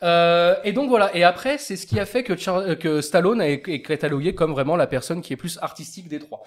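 A man with a high voice talks at a fairly quick clip, his intonation lively, his loudness swinging widely, and he barely pauses. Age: 30s. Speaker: film podcast panelist. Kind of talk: casual chat.

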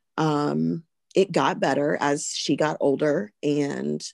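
A woman speaks with a Southern US accent, her voice dry and close with no echo against a quiet background. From US South (Alabama). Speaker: pharmacist and mother. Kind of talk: personal testimony in interview.

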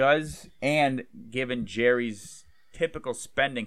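In a normal speaking voice, a man holds a medium pitch and shows ordinary pitch variation. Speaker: podcast co-host. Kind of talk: casual chat.

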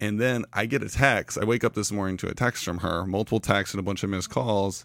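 On a very clean recording with a silent background, a man talks in a fairly low voice with ordinary pitch variation. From Florida. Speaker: tech founder. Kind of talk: casual chat. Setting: studio.

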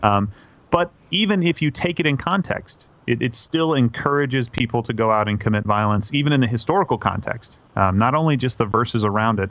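A plain, everyday voice from a man at medium pitch, with lively intonation, a fairly quick pace and very even loudness. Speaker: theology and apologetics guest. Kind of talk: casual interview.

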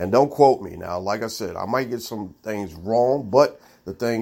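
This man has an ordinary speaking voice with an American accent and a fairly low pitch. He talks at a moderate pace. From Baltimore, Maryland, US. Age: middle-aged. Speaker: sports podcast host. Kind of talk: solo sports commentary monologue.

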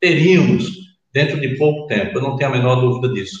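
A man's fairly high voice, with audible room echo. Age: 60s. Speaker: politician, former governor. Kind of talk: political panel debate. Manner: halting, repeats words.

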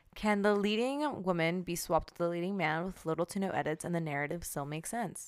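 A woman with an unremarkable speaking voice and a fairly low pitch talks at a fairly quick pace with lively intonation and hardly any pauses, in a very clean recording with a silent background. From Mexican-American family. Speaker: podcast co-host. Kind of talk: casual chat.

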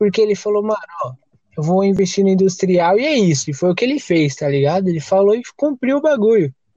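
The sound is dry and close with no echo as a man speaks at a fairly quick pace. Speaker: podcast host. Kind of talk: casual chat; game show hosting. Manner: animated.

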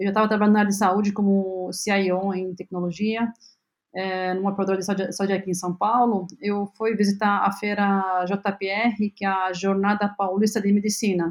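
A woman's medium-pitched voice holds a monotone, flat intonation at a moderate pace. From Lebanon. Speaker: health tech company CEO. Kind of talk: interview. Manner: halting, many fillers.

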